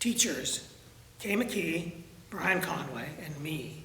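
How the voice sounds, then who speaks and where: Speaks with a Canadian accent. There is noticeable noise in the background. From Ontario, Canada. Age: 80s+. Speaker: retired drama teacher. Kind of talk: interview. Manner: halting, with many fillers.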